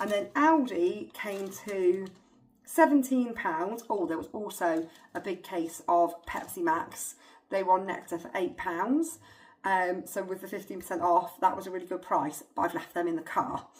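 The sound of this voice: At a moderate pace, a woman speaks with a fairly low pitch, ordinary pitch variation and a slightly mellow tone.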